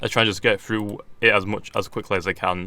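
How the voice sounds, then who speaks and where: Speaking with a British accent, a man talks at a very fast pace in a fairly low pitch with a bright, sharp tone. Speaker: gaming YouTuber. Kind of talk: gameplay commentary. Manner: stuttering.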